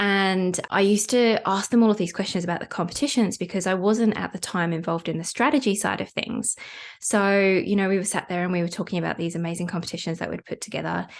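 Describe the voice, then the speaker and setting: A woman with a British accent speaks at a very fast pace, at a medium pitch with ordinary pitch variation. The background is quiet. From UK. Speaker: podcast host, competition marketing expert. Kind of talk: podcast monologue, personal story.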